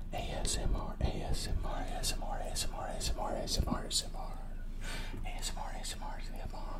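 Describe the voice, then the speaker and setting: A man is whispering. He goes at a very fast pace. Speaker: ASMR creator. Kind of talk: ASMR triggers.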